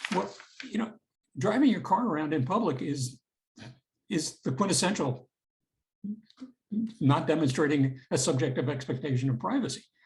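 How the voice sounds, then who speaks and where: A man with an American accent and a fairly high, somewhat breathy voice speaks at a moderate pace with lively intonation and long, frequent pauses. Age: 70s. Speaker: retired federal prosecutor and law professor. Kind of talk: interview.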